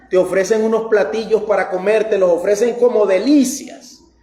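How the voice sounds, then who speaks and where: With noticeable background noise, a man speaks at a moderate pace in a high pitch. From Costa Rica. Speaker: pastor. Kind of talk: sermon.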